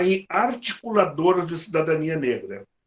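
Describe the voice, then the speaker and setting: This man's pitch varies in an ordinary way. His delivery comes at a moderate pace. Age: 60s. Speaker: workshop coordinator. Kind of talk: closing remarks to workshop group. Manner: halting, with frequent repetitions.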